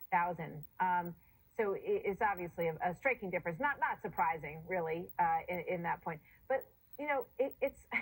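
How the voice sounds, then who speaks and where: Somewhat breathy and fairly low in pitch, a woman talks at a moderate pace with lively intonation. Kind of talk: TV news interview host.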